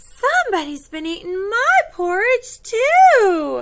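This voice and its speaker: A put-on character voice, female-sounding, squeaky and extremely high-pitched, at a fairly slow pace. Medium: read story.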